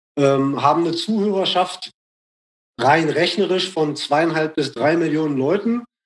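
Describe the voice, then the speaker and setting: In an ordinary speaking voice, a man with a fairly high pitch speaks at a fairly slow pace with ordinary pitch variation. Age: 40s. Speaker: rapper and radio host. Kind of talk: casual interview chat.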